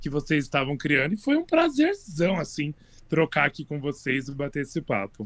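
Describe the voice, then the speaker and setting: A man talks at a fairly quick pace in a plain, everyday voice. His pitch is fairly high. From Brazil, Osasco (São Paulo). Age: 30s. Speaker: amateur volleyball player. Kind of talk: casual chat.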